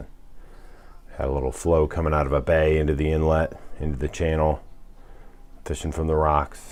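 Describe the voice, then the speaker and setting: Soft-spoken, a man talks at a moderate pace. His pitch is very deep and low. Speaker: fly tying instructor. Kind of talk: tutorial. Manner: soft-spoken, keeping voice low; casual.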